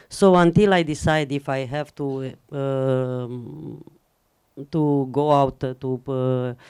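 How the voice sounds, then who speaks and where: With a Romanian accent, a woman speaks in a dark, mellow tone on a very clean recording with a silent background. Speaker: film editor. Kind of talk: Q&A after screening. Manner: halting, many fillers.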